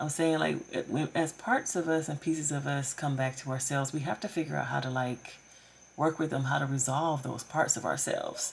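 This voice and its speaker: A woman's very deep, low voice with vocal fry, fairly even intonation and a fairly quick pace. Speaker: tarot reader. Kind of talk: tarot reading. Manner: casual, filler-heavy.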